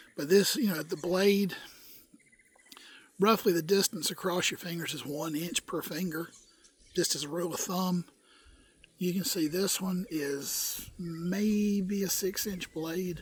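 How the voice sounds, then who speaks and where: Speaking at a fairly slow pace with long, frequent pauses, a man uses a high pitch and fairly even intonation while noticeable background noise runs underneath. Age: 60s. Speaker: bushcraft video maker. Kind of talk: casual tutorial. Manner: folksy, repeats okay often.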